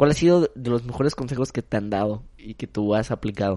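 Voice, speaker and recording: At a moderate pace, a man with a dark, mellow tone talks at medium pitch with ordinary pitch variation. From Mexico, Acapulco. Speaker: marketing professional. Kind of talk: casual chat.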